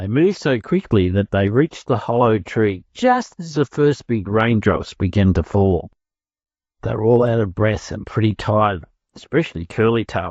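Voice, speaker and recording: The background stays quiet. A man talks in an Australian accent. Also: lively intonation, moderate pace, dry, close sound with no echo. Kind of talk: children's story reading for English learners.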